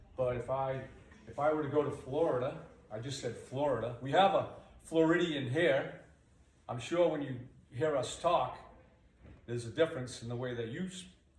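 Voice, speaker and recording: With an American accent and a fairly high pitch for a man, he speaks with ordinary pitch variation and long, frequent pauses, amid noticeable background noise and audible room echo. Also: moderate pace. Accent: Boston accent, toned down at work. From Boston area, New England. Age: old. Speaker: high school carpentry teacher. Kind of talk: classroom lesson. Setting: classroom with students. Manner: conversational, checks understanding often.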